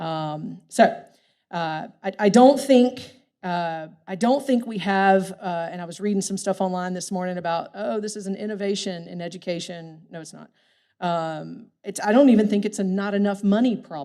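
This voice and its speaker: A woman's dark, mellow voice at medium pitch, moderate pace, ordinary pitch variation and big swings in loudness. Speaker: workforce development practitioner. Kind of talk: keynote speech.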